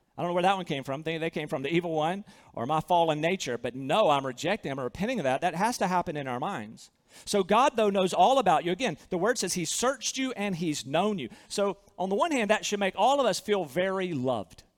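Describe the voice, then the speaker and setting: A man's high voice in a Southern US accent, very fast, with very wide pitch swings. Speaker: pastor. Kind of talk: sermon. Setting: church.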